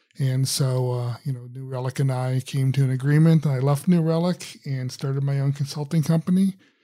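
This man has an American accent, a somewhat breathy, dark, mellow tone, a fairly quick pace and fairly even intonation. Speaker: software architect and author. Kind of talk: interview.

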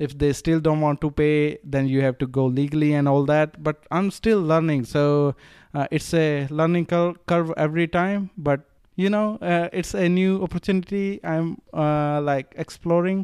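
A man with an Indian accent speaks in a fairly high pitch. The sound is dry and close with no echo, over a quiet background. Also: ordinary pitch variation, moderate pace. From Rajasthan, India. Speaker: drop shipping entrepreneur. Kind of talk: casual interview. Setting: Bali retreat. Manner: halting, with many fillers.

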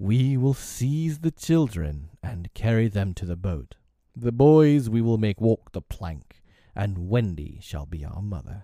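A man's put-on character voice, fairly low in pitch and fairly slow, on a very clean recording with a silent background. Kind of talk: theatrical villain in a storybook reading. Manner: passionate, grandiloquent, old-fashioned speech.

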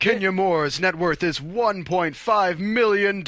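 A man's high-pitched, put-on character voice, fairly slow, over light background noise. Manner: announcer delivery.

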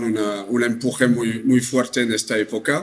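A man speaks with a French accent at medium pitch. His intonation is monotone and flat. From northern France. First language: French (speaking Spanish). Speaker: travel company sales director. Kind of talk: interview. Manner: halting.

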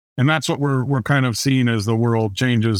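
A man with a Midwestern American accent, medium pitch and ordinary pitch variation, on a very clean recording with a silent background. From Indiana, US Midwest. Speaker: author and business adviser. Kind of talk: interview conversation.

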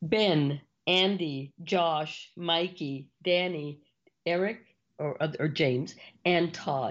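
With an American accent, a woman speaks at a very slow pace using ordinary pitch variation. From US South, Rio Grande Valley, Texas. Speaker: business consultant and CEO. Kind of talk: interview. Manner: high-energy.

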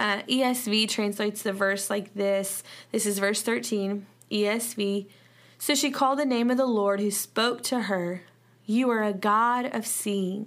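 In a Southern US accent, a woman speaks at a fairly slow pace with a medium pitch, fairly even intonation and very even loudness, in a very clean recording with a silent background. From US South. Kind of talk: devotional Bible teaching. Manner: informal, halting with fillers.

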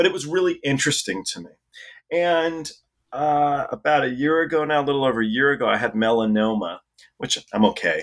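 In a very clean recording with a silent background, a man with an unremarkable speaking voice talks at a fairly quick pace with fairly high pitch, lively intonation and big swings in loudness. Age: 40s. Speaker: author and former roadie. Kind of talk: interview.

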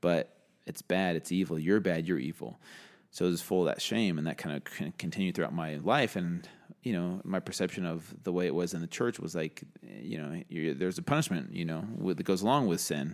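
A man talks at a fairly quick pace with a very deep, low pitch. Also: ordinary pitch variation, very clean recording, silent background. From US, San Diego then Virginia. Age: 30s. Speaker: fitness and wellness coach. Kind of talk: podcast interview.

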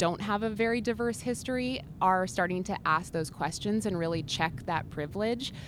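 A woman with a plain, everyday voice. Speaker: social media strategist. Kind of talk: trade show interview. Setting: trade show floor.

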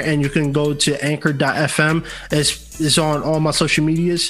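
A man with a New York accent talks at a fairly slow pace in a fairly high pitch. Noticeable background noise sits behind him. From New York City (Bronx). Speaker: podcast host and entertainer. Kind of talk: casual chat.

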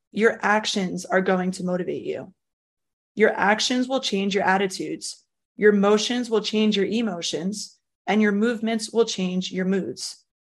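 Here is a woman with an unremarkable speaking voice, pitched in the medium range with ordinary variation. She talks at a moderate pace against a quiet background. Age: 20s. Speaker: podcast host. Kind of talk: casual interview chat.

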